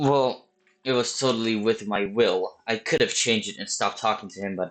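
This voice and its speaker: Fairly even intonation marks this man's speech. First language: not English. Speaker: vlogger telling life stories. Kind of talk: casual storytelling monologue. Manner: halting.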